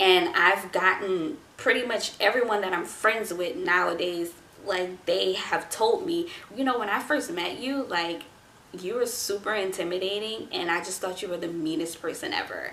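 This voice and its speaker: A medium-pitched woman's voice with an American accent, audible room echo and noticeable background noise. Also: ordinary pitch variation, moderate pace. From US South. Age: 20s. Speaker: vlogger. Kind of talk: casual advice talk to camera. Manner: laid-back, not very energetic.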